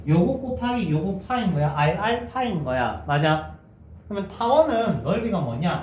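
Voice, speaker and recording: Over noticeable background noise and audible room echo, a man speaks at a high pitch and a moderate pace with very wide pitch swings. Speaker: math teacher. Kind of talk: lecture. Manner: conversational, checking questions.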